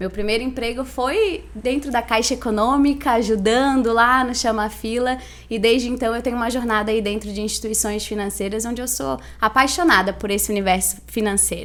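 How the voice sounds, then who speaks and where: A woman speaks fairly quickly with a Santa Catarina accent. Her fairly high voice shows ordinary pitch variation. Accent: Itajaí accent, noticeable. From Santa Catarina, Brazil (Itajaí). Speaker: financial education consultant. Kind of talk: podcast interview.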